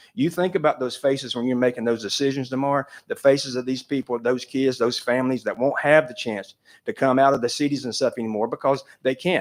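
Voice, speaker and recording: A man's medium-pitched, very fast voice with fairly even intonation and an Appalachian accent, on a very clean recording with a silent background. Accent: Southern US (Appalachian). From North Carolina. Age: 60s. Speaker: public commenter, trail business owner. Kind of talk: public comment at commission meeting.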